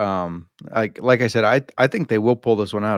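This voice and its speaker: A man speaks at a fairly quick pace in a plain, everyday voice with fairly low pitch. The sound is dry and close with no echo, over a quiet background. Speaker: sports betting analyst, guest co-host. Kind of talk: casual sports betting chat.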